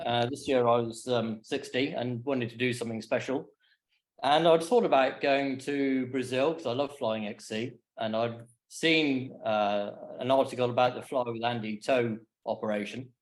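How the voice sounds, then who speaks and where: An ordinary speaking voice from a man at medium pitch, moderate in pace, with fairly even intonation. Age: 60s. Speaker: paraglider giving a talk. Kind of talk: slideshow presentation. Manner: casual, with fillers.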